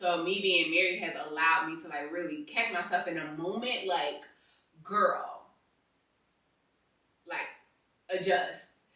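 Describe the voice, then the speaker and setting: A woman's fairly low voice carries audible room echo as she speaks at a fairly slow pace, with ordinary pitch variation and long, frequent pauses. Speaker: married couple podcast co-host. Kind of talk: casual chat. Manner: harsh delivery.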